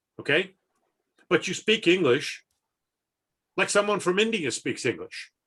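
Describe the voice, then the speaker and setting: A man with an American accent speaks at a fairly slow pace, his high voice bright and sharp in tone. His intonation is lively, broken by long, frequent pauses. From US Midwest. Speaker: haiku editor and poet. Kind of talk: interview. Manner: energetic.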